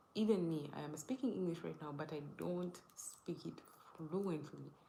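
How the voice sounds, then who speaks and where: Her pitch very deep and low, a woman speaks with a dark, mellow tone, vocal fry and ordinary pitch variation, while audible room echo surrounds her. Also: moderate pace. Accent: Ugandan. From Uganda. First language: not English. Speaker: live streamer. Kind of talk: casual live stream chat. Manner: halting, self-correcting.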